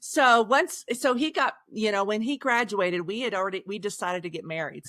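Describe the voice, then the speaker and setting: Recorded very cleanly against a silent background, a woman speaks with lively intonation. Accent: slight Oklahoma. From Oklahoma, Osage County. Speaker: author. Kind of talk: podcast interview.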